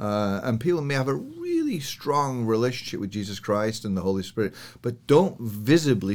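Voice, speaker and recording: Speaking at a moderate pace, a man with a northern English accent uses a medium pitch and ordinary pitch variation. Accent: British, northern English. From northern England, Yorkshire Dales. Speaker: church elder and businessman. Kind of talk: interview chat, with prayer.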